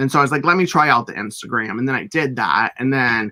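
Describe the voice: Medium in pitch, a man speaks at a fairly quick pace. His tone is bright and sharp.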